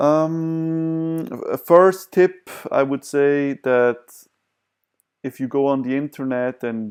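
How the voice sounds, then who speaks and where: The man's voice sits at a fairly high pitch, with a non-native accent and ordinary pitch variation. He speaks at a very slow pace, and the sound is dry and close with no echo. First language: not English. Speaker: vlogger sharing personal experience. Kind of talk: self-help talk to camera. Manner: hesitant, many fillers.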